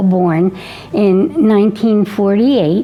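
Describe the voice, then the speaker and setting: A woman's medium-pitched voice with ordinary pitch variation and music in the background. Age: 90s. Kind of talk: interview testimony.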